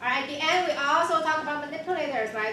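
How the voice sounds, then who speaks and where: A woman projects a raised, high-pitched voice with lively intonation, amid noticeable background noise and audible room echo. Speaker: university instructor. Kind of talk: lecture. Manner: fast.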